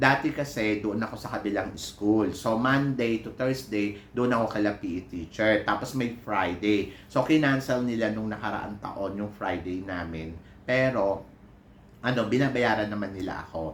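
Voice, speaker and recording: With audible room echo, a man speaks at a fairly low pitch and a moderate pace, his pitch varying in an ordinary way. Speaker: vlogger and PE teacher. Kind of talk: casual vlog chat. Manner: animated.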